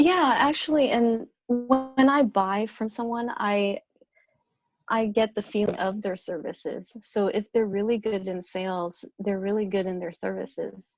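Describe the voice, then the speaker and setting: Soft-spoken and fairly high in pitch, a woman talks at a fairly slow pace with ordinary pitch variation. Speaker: top sales producer. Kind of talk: interview. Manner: halting.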